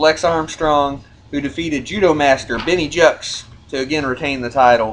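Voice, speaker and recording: Noticeable background noise runs under a man's voice. He keeps a moderate pace with ordinary pitch variation. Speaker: wrestling podcast host. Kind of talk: rankings countdown chat. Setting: studio. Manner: animated, stumbling over words.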